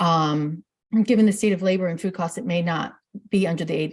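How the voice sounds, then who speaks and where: Speaking at a fairly quick pace, a woman's fairly low, somewhat breathy voice shows ordinary pitch variation. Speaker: webinar presenter. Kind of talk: webinar presentation. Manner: fast; halting, many fillers.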